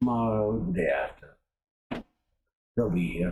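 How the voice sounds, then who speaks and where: A man puts on a character voice at medium pitch. His delivery is fairly slow with lively intonation. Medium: actual play. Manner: curt.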